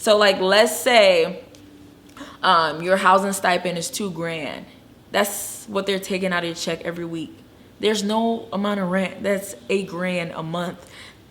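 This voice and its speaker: A woman's medium-pitched, fairly even voice at a fairly slow pace, with audible room echo. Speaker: travel nurse and video blogger. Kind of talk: casual vlog talk. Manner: stuttering at times.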